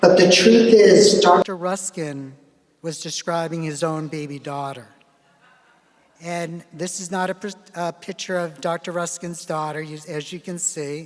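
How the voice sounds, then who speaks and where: Speaking fairly slowly, a man with a high voice keeps his intonation fairly even while his loudness swings widely. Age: 60s. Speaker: geriatrics physician giving keynote lecture. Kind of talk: lecture.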